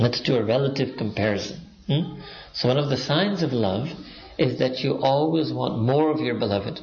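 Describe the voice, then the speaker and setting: Loudness stays very even at a moderate pace. There is audible room echo and noticeable background noise. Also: man, medium pitch for a man, ordinary pitch variation. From Pakistan. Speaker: Islamic preacher. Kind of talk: religious lecture.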